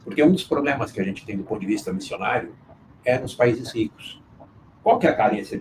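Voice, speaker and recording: A man talks at a fairly quick pace. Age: 60s. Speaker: business owner and mission board member. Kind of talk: live interview conversation.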